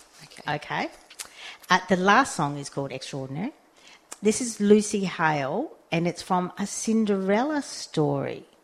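A woman's medium-pitched voice in an Australian accent, with very wide pitch swings and big swings in loudness. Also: moderate pace. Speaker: community radio co-host. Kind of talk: radio DJ patter, bubbly song intros and sign-offs. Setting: community radio studio.

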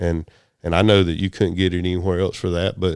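A man with a Southern US accent talks at a very fast pace in a very deep, low voice, recorded very cleanly against a silent background. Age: 50s. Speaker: telecom business owner. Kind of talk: casual interview chat.

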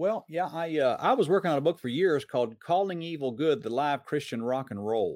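A man with an American accent speaks in a plain, everyday voice, fairly high-pitched for a man, with lively intonation, a fairly quick pace and hardly any pauses, on a very clean recording with a silent background. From US South, Metro Atlanta, Georgia. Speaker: preacher and filmmaker. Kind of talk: interview.

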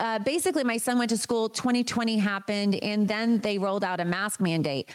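A woman speaks at a moderate pace with a fairly high pitch and ordinary pitch variation. Noticeable background noise runs beneath her. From Maine. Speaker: real estate agent and parent activist. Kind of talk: interview.

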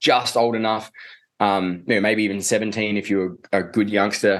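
With an Australian accent, this man talks in a fairly low register. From Australia, Adelaide. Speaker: men's coach. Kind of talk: casual chat.

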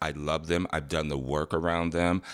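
The intonation is monotone and flat, on a very clean recording with a silent background. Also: man. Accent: American. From Detroit, Michigan, US Midwest. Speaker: dancer, singer, actor, choreographer. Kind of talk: casual interview, storytelling.

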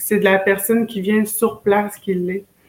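A woman's medium-pitched voice, moderate pace, monotone and flat intonation. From Quebec, Wendake (Wendat community near Quebec City). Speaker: community organizer. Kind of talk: casual interview. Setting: video call.

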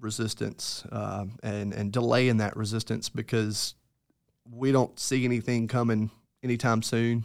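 With a Mississippi accent, a man talks in a monotone, flat intonation. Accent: US Southern (Mississippi). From Mississippi Delta, Greenville. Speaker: entomologist. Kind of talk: casual interview. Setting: studio.

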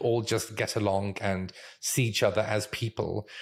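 A man speaks with a strong British accent. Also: very clean recording, silent background. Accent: British English, fairly strong. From Israel. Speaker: UX research manager and educator. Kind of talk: casual interview conversation.

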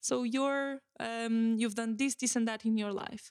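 A woman's fairly high voice in a Portuguese accent, with fairly even intonation, a moderate pace and a dry, close sound free of echo. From Portugal. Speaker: podcast host. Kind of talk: solo podcast monologue. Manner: hesitant, many fillers and repetitions.

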